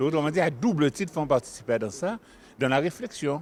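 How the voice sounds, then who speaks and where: His intonation is lively. The man's pitch sits fairly high. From Guadeloupe. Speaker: community association member. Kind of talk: interview.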